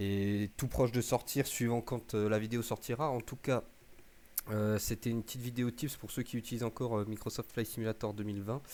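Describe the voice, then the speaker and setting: Monotone, flat intonation at a fairly quick pace. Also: man, medium pitch for a man. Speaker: gaming youtuber. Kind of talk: tutorial. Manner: hesitant, many fillers.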